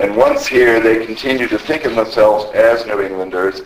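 Noticeable background noise sits behind the recording. A man talks at a moderate pace. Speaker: local historian and history society president. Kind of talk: lecture. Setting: stage with audience, microphone.

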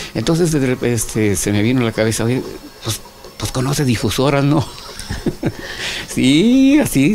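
Light background noise sits under a man's speech. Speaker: interview guest, former TV host. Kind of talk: interview answer. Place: studio.

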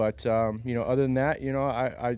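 With ordinary pitch variation, a man speaks. The sound is dry, with no echo. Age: 30s. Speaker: professional MMA fighter. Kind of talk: post-fight interview. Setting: arena after a fight. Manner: halting, many fillers. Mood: calm, slightly self-critical. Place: hall. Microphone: handheld.

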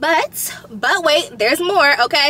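Here a raised, projected voice with lively intonation comes through a dry sound with no echo and light background noise. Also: woman. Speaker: vlogger. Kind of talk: casual vlog chat. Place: car.

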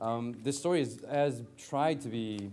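He speaks with a dark, mellow tone. That tone stays low and soft throughout. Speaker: speaker. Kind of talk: conference talk. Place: hall. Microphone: lapel.

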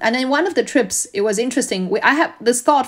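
A woman speaks at a very fast pace in a Chinese accent. Her intonation is lively. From China. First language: Mandarin Chinese. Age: 40s. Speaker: school founder. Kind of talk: interview.

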